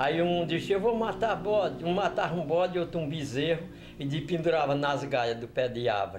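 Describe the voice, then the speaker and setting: Heard with audible room echo, a man with a fairly high pitch and vocal fry talks at a moderate pace. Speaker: elderly local resident. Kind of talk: oral history testimony.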